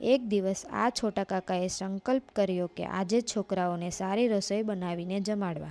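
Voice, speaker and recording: A woman speaks with a dark, mellow tone and fairly even intonation. The recording is very clean with a silent background and a dry, close sound with no echo. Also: medium pitch for a woman. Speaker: narrator of a religious life story. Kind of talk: devotional biography narration.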